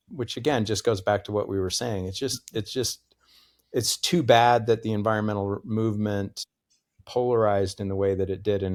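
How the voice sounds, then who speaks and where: In an unremarkable speaking voice with an American accent, a man talks fairly low at a moderate pace with fairly even intonation on a very clean recording with a silent background. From US Northeast, Connecticut. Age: 60s. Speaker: professor. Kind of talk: interview conversation.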